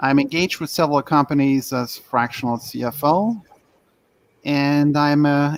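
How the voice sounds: A man with a medium pitch and vocal fry, at a fairly slow pace.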